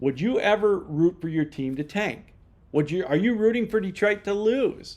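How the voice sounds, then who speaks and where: A man with an American accent, animated in tone. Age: 60s. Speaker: sports fan commentator. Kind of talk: casual monologue.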